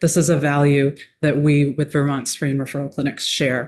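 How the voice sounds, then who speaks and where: A soft-spoken woman at a fairly quick pace against a quiet background. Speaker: nonprofit executive director. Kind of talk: testimony. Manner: quiet, soft-spoken; formal.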